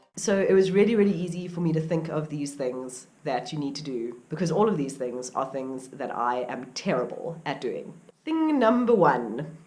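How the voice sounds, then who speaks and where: A woman with a very deep, low pitch speaks at a moderate pace with hardly any pauses, lively intonation and an upbeat tone. Audible room echo and noticeable background noise surround her voice. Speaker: outdoor vlogger. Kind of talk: vlog tips talk. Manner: casual, upbeat.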